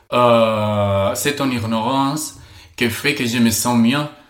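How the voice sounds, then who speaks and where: A man speaks at a very slow pace with a medium pitch, a bright, sharp tone and fairly even intonation. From Spain. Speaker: podcast guest. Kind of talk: casual chat. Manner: halting.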